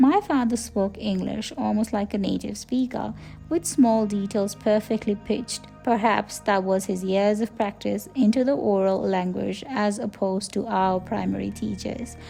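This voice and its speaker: Music plays in the background as the speaker goes at a moderate pace. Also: woman. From Nepal. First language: Nepali. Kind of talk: personal reflective narration.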